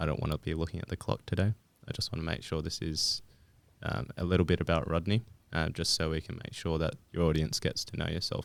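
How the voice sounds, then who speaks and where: A man with an Australian accent speaks at a very fast pace. His voice sits at a very deep, low pitch. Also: ordinary pitch variation. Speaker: podcast host. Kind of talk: casual interview. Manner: hesitant, many fillers.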